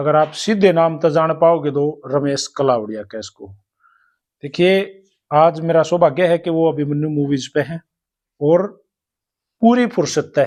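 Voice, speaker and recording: A man's fairly high voice with a Haryanvi accent, ordinary pitch variation, and long, frequent pauses. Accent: Haryanvi-accented Hindi. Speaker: interviewer. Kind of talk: interview.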